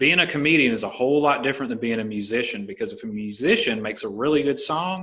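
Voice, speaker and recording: A man with a Southern US accent talks very fast, with hardly any pauses, in a fairly high pitch and a bright, sharp tone that swings very widely. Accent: Southern American. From US South, Alabama. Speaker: podcast host and stand-up comedian. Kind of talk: casual chat.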